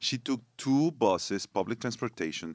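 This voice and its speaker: With a Spanish accent, a man speaks in a dry, close sound with no echo on a very clean recording with a silent background. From northern Mexico. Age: 40s. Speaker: worship pastor. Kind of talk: casual chat. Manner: halting.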